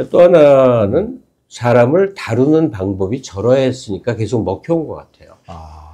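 A man speaks fairly slowly in a dark, mellow tone against a quiet background. His pitch swings very widely and his loudness shifts a lot. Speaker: political commentator. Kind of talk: casual chat. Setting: studio. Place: studio. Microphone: lapel.

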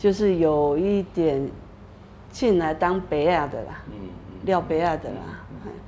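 Over light background noise, a woman with a fairly low pitch and a dark, mellow tone talks at a fairly slow pace with lively intonation. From Taiwan, New Taipei (Xinzhuang); Taiwan. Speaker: activist facing eviction. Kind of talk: interview testimony. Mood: earnest, somewhat aggrieved. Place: studio. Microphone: lapel.

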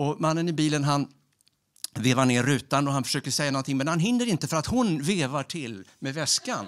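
The background is quiet. A man speaks at a fairly quick pace. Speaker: storyteller. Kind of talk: storytelling. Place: stage. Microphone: handheld.

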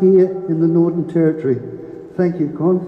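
A man in a strong Australian accent speaks with ordinary pitch variation amid audible room echo. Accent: broad Australian. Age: old. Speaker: local resident. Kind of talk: public meeting speech. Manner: animated. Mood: angry, protesting. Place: hall.

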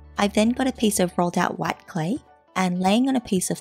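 Lively intonation over music in the background. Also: woman. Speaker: polymer clay crafter. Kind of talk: craft tutorial narration.

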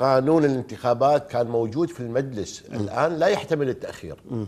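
With lively intonation, a man talks in a dark, mellow tone at a fairly high pitch. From Kuwait. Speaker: TV panel commentator. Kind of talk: TV political discussion. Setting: TV studio. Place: studio. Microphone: lapel.

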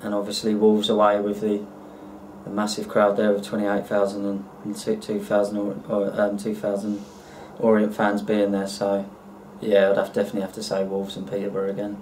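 Over light background noise, a man with a fairly low pitch speaks at a moderate pace in a monotone, flat intonation. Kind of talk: casual Q&A answers. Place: home room. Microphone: webcam.

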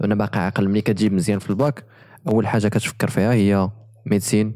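A man talks at a fairly quick pace in a fairly low pitch. His tone is dark and mellow, and the background is quiet. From Morocco. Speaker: podcast host; podcast host or guest. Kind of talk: casual interview. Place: studio. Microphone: studio mic.

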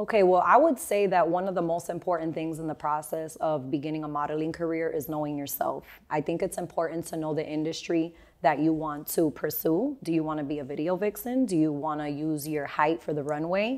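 Her pitch is very deep and low, with ordinary variation. The woman talks at a fairly quick pace with hardly any pauses. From Miami, Florida, Cuban-American family; Florida. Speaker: model agency founder and teacher; teacher. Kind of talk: casual interview. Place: studio. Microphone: lapel.

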